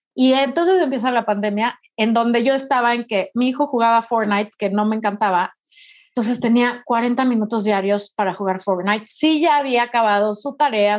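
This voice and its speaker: A woman speaks in a normal speaking voice, fairly high in pitch. Her pace is moderate and her pitch variation ordinary. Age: 40s. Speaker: writer and speaker. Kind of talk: interview conversation.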